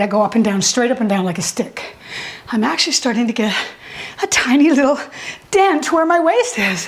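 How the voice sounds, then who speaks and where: A woman speaks at a moderate pace in a high pitch, with lively intonation and an energetic tone. Noticeable background noise runs behind her. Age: 60s. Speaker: fitness instructor. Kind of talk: live fitness class instruction. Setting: live class with students. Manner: energetic, coaching cues while exercising.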